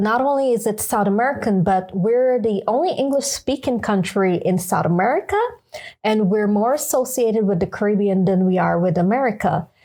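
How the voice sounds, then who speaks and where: A woman with a Guyanese accent speaks at a fairly quick pace in a fairly high pitch, with a dark, mellow tone and ordinary pitch variation. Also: very even loudness. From Guyana. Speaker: podcast co-host. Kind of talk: casual chat.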